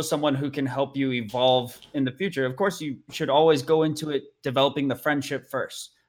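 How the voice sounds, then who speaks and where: This man speaks in a plain, everyday voice with an American accent. His pitch is fairly high. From Arizona. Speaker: touring musician. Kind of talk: casual chat. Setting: live-streamed podcast.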